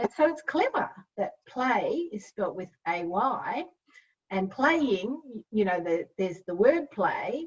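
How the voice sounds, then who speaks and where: Over a quiet background, a woman with an Australian accent speaks at a very slow pace, her fairly high voice making very wide pitch swings. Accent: Australian, non-rhotic. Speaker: literacy educator. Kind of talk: webinar presentation. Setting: online webinar with chat. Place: home room. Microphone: webcam.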